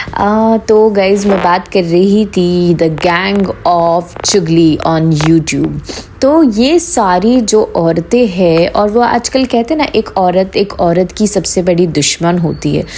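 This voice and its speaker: A woman at medium pitch with ordinary pitch variation, a very slow pace, hardly any pauses, and very even loudness, against noticeable background noise. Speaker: YouTube commentary vlogger. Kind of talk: casual commentary monologue. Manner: animated.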